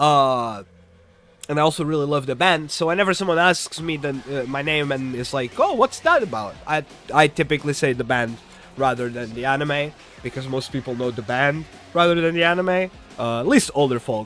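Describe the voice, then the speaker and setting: Music plays behind a man with a fairly high pitch and an animated tone. He talks at a fairly quick pace with ordinary pitch variation. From Portugal. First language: Portuguese. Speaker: streamer. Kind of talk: casual chat.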